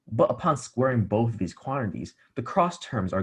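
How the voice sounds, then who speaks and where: This man's intonation is lively. He has a medium pitch and a somewhat breathy voice. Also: quiet background. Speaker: math tutor. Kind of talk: tutorial. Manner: quiet.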